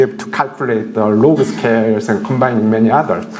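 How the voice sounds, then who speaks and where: A man with a Korean accent at medium pitch, with noticeable background noise and audible room echo. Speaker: professor. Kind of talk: lecture. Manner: halting, many fillers.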